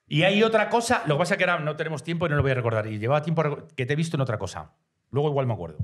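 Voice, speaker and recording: Against a quiet background, a man speaks very fast with vocal fry. His fairly high pitch swings very widely. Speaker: podcast host. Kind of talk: casual chat. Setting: stage with audience. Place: studio. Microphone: studio mic.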